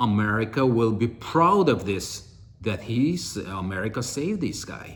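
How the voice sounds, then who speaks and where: A man with an Armenian accent speaks at a fairly slow pace. His voice is somewhat breathy, with very wide pitch swings. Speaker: political commentator. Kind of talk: political monologue. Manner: halting.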